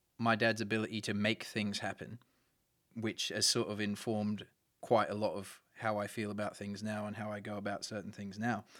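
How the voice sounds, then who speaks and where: A man with an Australian accent speaks at a fairly low pitch. His delivery is at a moderate pace with monotone, flat intonation. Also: long, frequent pauses, very clean recording, silent background. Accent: Australian with a noted twang. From Brisbane, Australia. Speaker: musician. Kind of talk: interview. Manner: halting.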